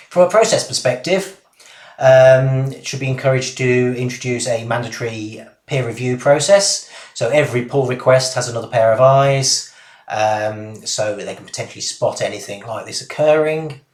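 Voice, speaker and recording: A man with a Birmingham accent talks in a somewhat breathy voice. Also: medium pitch for a man, ordinary pitch variation, moderate pace, big swings in loudness. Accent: Birmingham (Brummie). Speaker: postgraduate cybersecurity student. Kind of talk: academic presentation. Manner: hesitant, with frequent ums and uhs.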